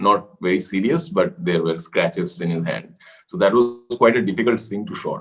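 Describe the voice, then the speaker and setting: A man talks at a moderate pace with very wide pitch swings. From India, Kolkata. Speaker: actor. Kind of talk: interview.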